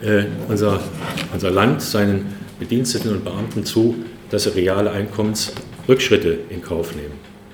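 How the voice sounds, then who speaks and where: Over noticeable background noise and audible room echo, a man with a fairly low voice speaks at a fairly slow pace, with long, frequent pauses. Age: 60s. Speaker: trade union chairman. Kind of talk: closing speech. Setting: conference hall with audience. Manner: hesitant with filler sounds.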